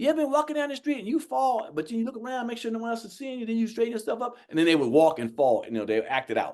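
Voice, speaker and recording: Very wide pitch swings mark a man's very fast speech, pitched high for a man. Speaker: stand-up comedian. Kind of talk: casual interview.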